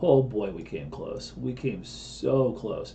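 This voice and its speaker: There is audible room echo as a man speaks. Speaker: crypto trading analyst. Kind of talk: live trading broadcast.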